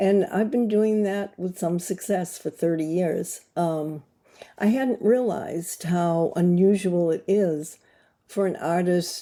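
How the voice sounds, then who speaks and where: A woman with an American accent speaks very slowly at a medium pitch, with ordinary pitch variation and a dark, mellow tone, in a very clean recording with a silent background. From USA. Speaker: glass artist and creativity coach. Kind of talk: casual talk to camera. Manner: halting, many fillers.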